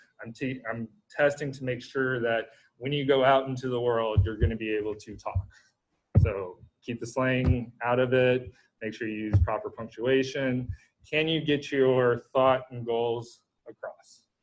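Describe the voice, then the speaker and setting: A man with a plain, everyday voice talks at a fairly slow pace, his pitch medium and his intonation fairly even. His loudness swings widely. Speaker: university lecturer. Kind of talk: lecture. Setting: video call.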